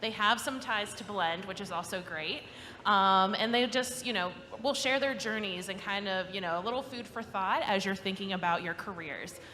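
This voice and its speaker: Her bright, sharp tone at a medium pitch carries audible room echo as the woman speaks at a moderate pace. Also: ordinary pitch variation. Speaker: panel moderator. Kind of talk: panel discussion moderation. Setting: live event with audience.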